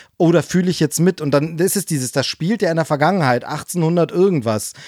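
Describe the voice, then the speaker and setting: A man with a normal speaking voice talks fairly quickly at a fairly high pitch with ordinary pitch variation, on a very clean, dry and close recording with no echo and a silent background. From East Germany. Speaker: podcast co-host. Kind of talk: casual chat.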